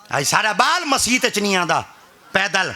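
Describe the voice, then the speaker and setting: A man's high-pitched, raised, projected voice over noticeable background noise. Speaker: religious preacher (peer). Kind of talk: humorous religious sermon (bayan) to an audience. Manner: humorous, storytelling.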